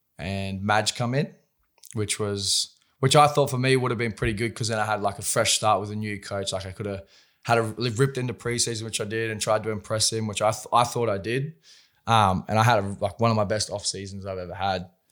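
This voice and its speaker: Fairly quick, fairly even speech from a man with a fairly low pitch and an Australian accent, in a very clean recording with a silent background. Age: 20s. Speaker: professional rugby league player. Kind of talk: casual chat. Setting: studio.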